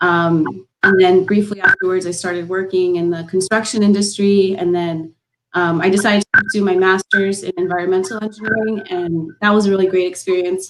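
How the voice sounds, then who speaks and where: A woman with a Californian accent, medium pitch and monotone, flat intonation, at a fairly quick pace with hardly any pauses. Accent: California American. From Los Angeles, US. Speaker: civil engineer, panelist. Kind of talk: panel discussion. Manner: hesitant, many fillers.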